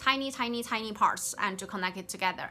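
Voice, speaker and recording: Someone speaks with a Chinese accent as music plays in the background. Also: woman. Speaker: game developer. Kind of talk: work progress update. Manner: halting, many fillers and restarts.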